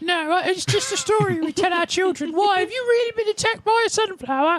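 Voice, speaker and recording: A put-on character voice races along at a very fast pace with an extremely high pitch. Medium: actual play. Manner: friendly, chatty, fussy.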